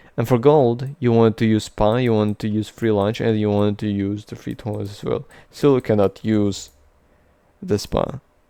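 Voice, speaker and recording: Moving at a moderate pace, a man's fairly low voice has a dark, mellow tone and fairly even intonation. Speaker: programming tutor. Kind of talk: tutorial. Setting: screen recording with drawing app. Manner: casual, hesitant with many fillers.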